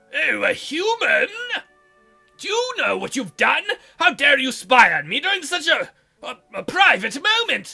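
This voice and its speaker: Over faint background music, a woman performs a put-on character voice at a moderate pace, leaving long, frequent pauses. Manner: manly, indignant, embarrassed, stammering.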